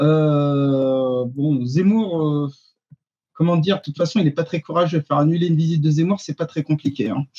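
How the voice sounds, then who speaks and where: A man with an Arabic accent talks at a moderate pace, his voice fairly high and somewhat breathy. Pitch varies in an ordinary way, and the sound is dry and close with no echo. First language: Arabic (speaking French). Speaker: activist. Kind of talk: panel discussion. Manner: hesitant, many fillers.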